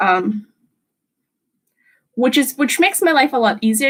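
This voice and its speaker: A woman talks at a moderate pace with an American accent. Her voice is somewhat breathy. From Russia, moved to US at seven. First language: Russian. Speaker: streamer. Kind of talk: casual chat.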